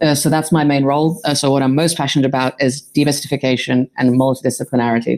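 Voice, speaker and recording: In a British accent, a woman rushes at a very fast pace with hardly any pauses, her very deep, low pitch held at a very even loudness in a dry, close sound with no echo. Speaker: archaeologist and AI popularizer. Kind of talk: panel discussion. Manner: animated.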